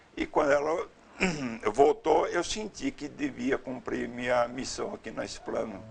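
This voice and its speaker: This man talks fairly slowly. Background noise is clearly audible. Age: 60s. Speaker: retired security consultant and volunteer storyteller. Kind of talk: interview testimony.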